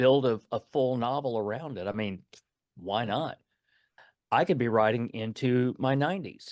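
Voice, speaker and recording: A man with a Texan accent at a medium pitch, ordinary pitch variation and a moderate pace, long, frequent pauses, and a dry, close sound with no echo. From East Texas. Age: 60s. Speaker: author and retired Navy veteran. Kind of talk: interview. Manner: halting, repeating words.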